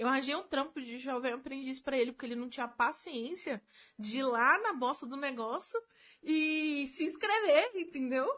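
The intonation is lively. The pace stays moderate. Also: woman, high pitch for a woman. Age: 20s. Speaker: video editor. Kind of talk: casual chat.

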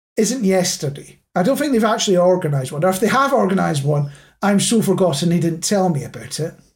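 A high-pitched man with a Scottish accent and very wide pitch swings. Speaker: podcast host. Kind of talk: casual chat.

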